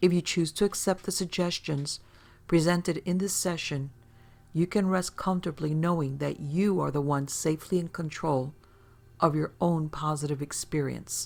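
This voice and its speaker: A woman with a fairly low pitch speaks at a moderate pace with fairly even intonation in an unremarkable speaking voice. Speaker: hypnotherapist. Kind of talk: recorded disclaimer read.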